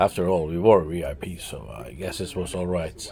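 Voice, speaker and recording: Here a man talks in a very deep, low voice with ordinary pitch variation. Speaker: travel vlogger. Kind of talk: vlog narration. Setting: VIP lounge of a concert hall. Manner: hesitant, many fillers; quiet indoor voice.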